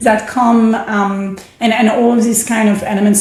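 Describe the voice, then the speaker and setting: A woman with a French accent speaks at a moderate pace with monotone, flat intonation. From France. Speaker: startup founder. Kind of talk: podcast interview.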